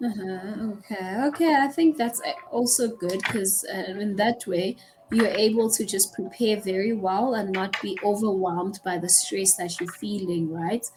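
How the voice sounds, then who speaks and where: With noticeable background noise behind her, a woman talks at a fairly slow pace with hardly any pauses, using a medium pitch and ordinary pitch variation. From South Africa. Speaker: online English tutor. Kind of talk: casual conversation lesson.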